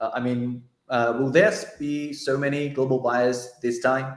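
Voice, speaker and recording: A man talks with fairly even intonation, and audible room echo surrounds his voice. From China. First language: Chinese. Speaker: journalist. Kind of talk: casual livestream interview.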